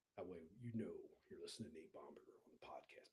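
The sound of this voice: In a put-on character voice, a man rattles along at a very fast pace.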